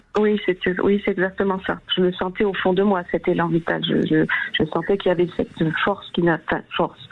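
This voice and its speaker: The voice moves at a fairly quick pace in a monotone, flat intonation. Its loudness stays very even. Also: woman, medium pitch for a woman. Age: 60s. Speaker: caller sharing testimony. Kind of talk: testimony. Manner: halting.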